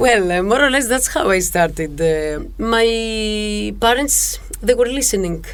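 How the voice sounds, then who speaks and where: A woman with a fairly high pitch and lively intonation speaks at a fairly slow pace amid noticeable background noise and audible room echo. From Greece, Thessaloniki. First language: Greek. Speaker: music teacher and musician. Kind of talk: podcast interview. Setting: studio. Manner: halting.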